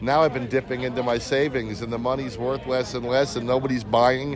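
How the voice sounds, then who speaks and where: A man speaks at a fairly quick pace and a medium pitch. Noticeable background noise is present. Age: 60s. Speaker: interviewee at a political event, salesman and actor. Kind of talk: street interview. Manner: halting, repeats words.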